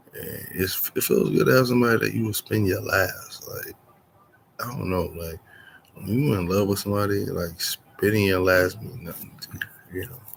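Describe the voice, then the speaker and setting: A quiet man's voice with big swings in loudness. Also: moderate pace. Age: 40s. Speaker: vlogger. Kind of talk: casual monologue. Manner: quiet, low voice.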